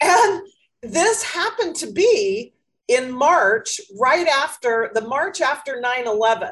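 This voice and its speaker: Slowly, very slowly, a woman speaks at a high pitch with very wide pitch swings. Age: 60s. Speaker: life coach, podcast host. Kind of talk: casual interview chat.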